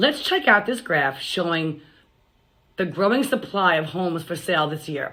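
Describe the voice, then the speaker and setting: Here is a woman with an American accent and a plain, everyday voice. Her medium pitch carries lively intonation at a moderate pace. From Long Island, New York. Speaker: realtor. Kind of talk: scripted sales pitch.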